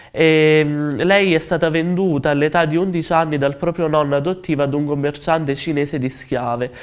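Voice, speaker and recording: A man speaks at a moderate pace with hardly any pauses, his fairly high voice holding very even loudness and fairly even intonation against a quiet background. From southern Italy, Cilento (Campania); southern Italy. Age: 20s. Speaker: novelist. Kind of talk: interview statement. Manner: halting, many fillers. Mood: calm, earnest. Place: studio. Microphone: lapel.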